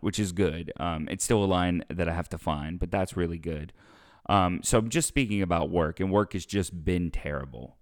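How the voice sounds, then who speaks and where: With an American accent and a very deep, low pitch, a man talks at a moderate pace with ordinary pitch variation on a very clean recording with a silent background. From US South. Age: 20s. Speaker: podcast host and opera singer. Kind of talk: casual chat.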